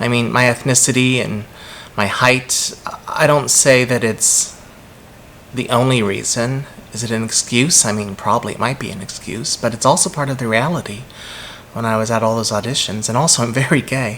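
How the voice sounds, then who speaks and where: With fairly even intonation and a moderate pace, a man speaks over noticeable background noise. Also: medium pitch for a man. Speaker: vlogger. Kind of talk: personal vlog monologue.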